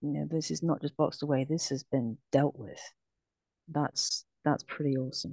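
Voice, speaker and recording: A woman with a British accent speaks at a very deep, low pitch in a dark, mellow tone. Her moderate pace comes through a dry, close sound with no echo. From UK. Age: 40s. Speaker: abuse survivor. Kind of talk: testimony. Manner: halting.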